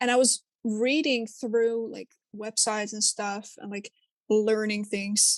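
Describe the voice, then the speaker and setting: Delivered at a very slow pace with monotone, flat intonation, this Dutch-accented voice sounds dry and close with no echo. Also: woman, fairly high pitch for a woman. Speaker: podcast co-host. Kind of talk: casual chat.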